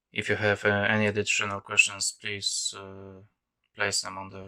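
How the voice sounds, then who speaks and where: Over a silent background in a very clean recording, a man with a non-native accent speaks in a bright, sharp tone with monotone, flat intonation. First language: not English. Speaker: DIY hobbyist video maker. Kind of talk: tutorial. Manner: halting, many fillers.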